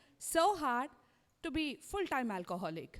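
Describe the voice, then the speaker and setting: A woman with an Indian accent speaks at a high pitch and a fairly slow pace. Her pitch swings very widely. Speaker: stand-up comedian. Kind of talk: stand-up. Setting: stage with audience.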